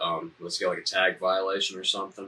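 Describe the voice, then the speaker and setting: A man with a Southern US accent speaks with very wide pitch swings. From US South, Alabama (Huntsville). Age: 20s. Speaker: podcast guest, dispensary worker. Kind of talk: casual chat. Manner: frequent filler 'um'.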